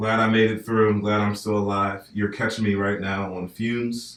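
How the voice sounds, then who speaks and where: A man's fairly low, flat, monotone voice with an American accent. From northern US. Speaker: podcast host. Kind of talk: casual chat.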